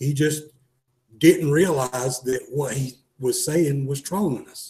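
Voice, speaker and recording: Talking at a very slow pace with a Southern accent, a man with a fairly high, somewhat breathy voice and a dark, mellow tone keeps fairly even intonation while his loudness swings widely. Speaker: gun shop co-host. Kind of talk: casual chat. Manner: halting.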